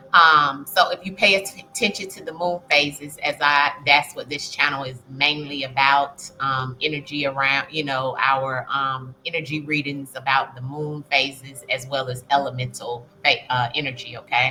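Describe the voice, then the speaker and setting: A woman talks at a moderate pace with a very deep, low pitch and fairly even intonation. Her loudness swings widely, and there is noticeable background noise. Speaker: spiritual reader, astrology channel host. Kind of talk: casual spiritual reading monologue. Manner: hesitant, many filler ums.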